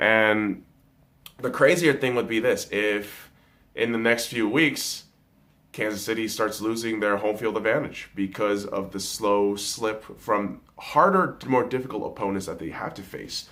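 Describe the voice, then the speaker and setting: A man's bright, sharp voice carries ordinary pitch variation. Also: medium pitch for a man, fairly slow pace. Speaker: sports picks video host. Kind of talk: casual sports prediction monologue. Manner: low energy.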